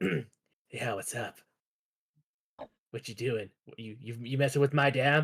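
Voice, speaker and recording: A man uses a raspy, put-on character voice at a medium pitch. He talks at a fairly slow pace with long, frequent pauses. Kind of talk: casual, comedic. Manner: confrontational, accusing.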